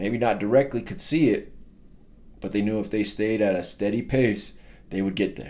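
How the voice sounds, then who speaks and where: The tone is dark and mellow, with fairly even intonation at a moderate pace. Long pauses come often. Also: man, fairly low pitch for a man. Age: 30s. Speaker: personal development speaker. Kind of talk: motivational talk.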